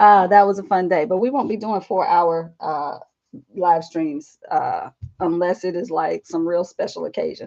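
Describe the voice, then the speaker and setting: Ordinary pitch variation in a Southern US accent. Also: woman, medium pitch for a woman, moderate pace. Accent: Southern twang. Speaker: art journaling YouTuber and teacher. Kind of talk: casual live stream vlog. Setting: live stream at home desk. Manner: chatty.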